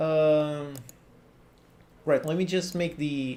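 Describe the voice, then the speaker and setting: A man speaks with a Portuguese accent at a fairly high pitch. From Portugal. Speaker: game developer and coding tutorial youtuber; coding tutorial youtuber. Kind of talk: live stream chat while working. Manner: casual, conversational. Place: home room.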